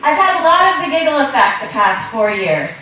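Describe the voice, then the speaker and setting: A woman speaks loudly at a moderate pace. Noticeable background noise can be heard. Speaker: space education entrepreneur. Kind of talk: conference talk. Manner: loud, projecting voice; animated.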